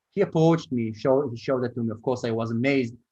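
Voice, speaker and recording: A man with an Israeli accent speaks at a medium pitch with ordinary pitch variation. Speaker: startup co-founder and marketing executive. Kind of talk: interview.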